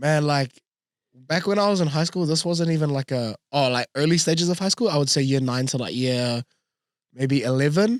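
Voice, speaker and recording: A man with a New Zealand accent and a fairly high pitch, ordinary pitch variation, very even loudness and a moderate pace, in a dry, close, very clean recording with no echo and a silent background. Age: 20s. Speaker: radio announcer. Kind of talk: casual interview. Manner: talkative.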